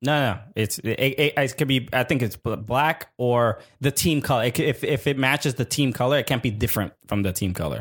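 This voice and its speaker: A man with a plain, everyday voice speaks at a fairly quick pace in a medium pitch, his loudness very even and his pitch varying in an ordinary way. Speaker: podcast co-host. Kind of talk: casual chat.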